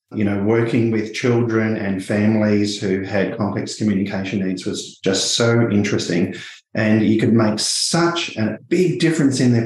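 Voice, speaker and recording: There's a man with an Australian accent here, talking at a moderate pace with hardly any pauses, a fairly low pitch and ordinary pitch variation. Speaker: speech pathologist. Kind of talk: interview conversation.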